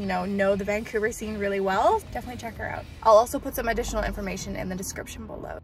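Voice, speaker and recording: Speech at a very fast pace with hardly any pauses, in a dry sound with no echo, over faint background music. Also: woman. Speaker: vlogger. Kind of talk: casual vlog chat. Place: car. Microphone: phone near.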